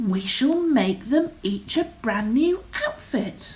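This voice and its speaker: In a put-on character voice, a woman speaks very slowly at a high pitch, her pitch swinging very widely. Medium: read story.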